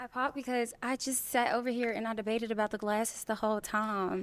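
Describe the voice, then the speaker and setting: Speaking at a fairly quick pace, a woman with a Southern US accent uses a fairly high pitch. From Mississippi, US South. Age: 20s. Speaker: dating show contestant. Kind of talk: casual chat.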